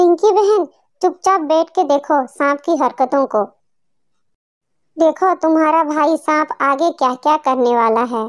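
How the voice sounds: A woman's voice pitched high. She speaks in a cartoonish character voice. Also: moderate pace.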